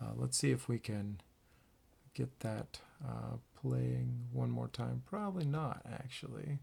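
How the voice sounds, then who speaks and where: A soft-spoken man talks at a fairly slow pace. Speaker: band director. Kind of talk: casual address to band; rehearsal tutorial. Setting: home at night, keyboard. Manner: quiet, soft-spoken; hesitant, many fillers.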